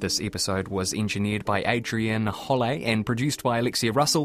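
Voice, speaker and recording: The man speaks at a medium pitch in a New Zealand accent. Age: 20s. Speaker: podcast host. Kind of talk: interview; scripted outro.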